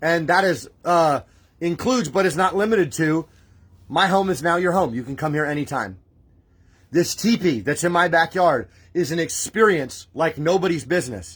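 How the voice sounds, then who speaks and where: A loud, animated, high-pitched man's voice at a moderate pace. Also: ordinary pitch variation. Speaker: spiritual livestream host. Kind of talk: livestream preaching. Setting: live stream from home. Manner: emotional, animated.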